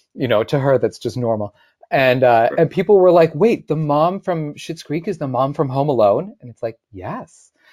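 Fairly high in pitch, a man with an American accent talks at a fairly quick pace. The sound is dry and close, with no echo. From US, Syracuse, New York. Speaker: actor. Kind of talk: casual interview chat.

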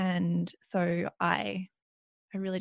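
A woman with an Australian accent, dry, close sound with no echo, and a quiet background. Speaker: mindfulness coach. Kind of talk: interview conversation. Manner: calm.

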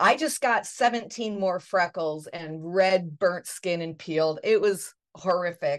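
With a plain, everyday voice, a woman speaks at a fairly slow pace and medium pitch with ordinary pitch variation and hardly any pauses, against a quiet background. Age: 60s. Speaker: podcast host. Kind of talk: interview.

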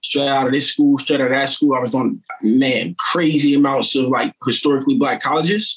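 With an American accent, a man with an ordinary speaking voice talks at a fairly quick pace, his fairly high pitch showing ordinary variation. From Wilmington, Delaware, US. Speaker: t-shirt print shop owner. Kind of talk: casual podcast interview. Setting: kitchen at home, video call.

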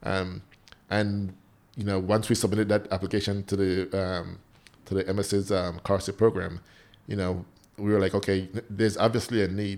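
A man's fairly low, monotone, flat delivery broken by long, frequent pauses. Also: moderate pace. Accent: Belizean. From Belize. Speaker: firefighter and nonprofit founder. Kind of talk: casual interview.

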